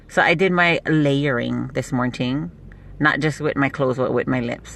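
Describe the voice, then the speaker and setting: Her very deep, low pitch shows ordinary variation as this woman speaks. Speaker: beauty product seller livestreamer. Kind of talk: casual live stream chat. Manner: fast.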